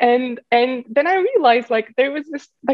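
With a Turkish accent, a woman speaks at a moderate pace with lively intonation. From Turkey. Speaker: startup founder and CEO. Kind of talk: podcast interview. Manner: halting.

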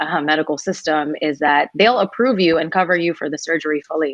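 An American accent, ordinary pitch variation, and a fairly quick pace. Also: woman. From New York, US (Indian American). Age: 30s. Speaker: singer and songwriter. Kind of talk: interview chat. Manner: animated.

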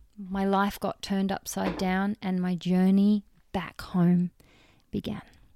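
Speaking very slowly with an Australian accent, a woman at medium pitch has a dark, mellow, warm tone and flat, monotone intonation, recorded dry and close with no echo against a silent background on a very clean track. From Western Australia. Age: 30s. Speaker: podcast host and transformation coach. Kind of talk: personal storytelling monologue. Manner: warm, casual.

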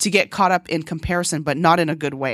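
Speaking at a fairly quick pace, a woman has a normal speaking voice with a fairly low pitch. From moved from Korea as a child, grew up in US (Texas, Hawaii). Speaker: podcast host, dancer and entrepreneur. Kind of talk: solo podcast monologue.

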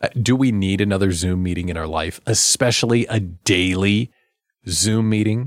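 With an animated tone and ordinary pitch variation, a man talks at a moderate pace in a fairly low pitch, the sound dry and close with no echo. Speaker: radio host and small business coach. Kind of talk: radio talk show. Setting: studio.

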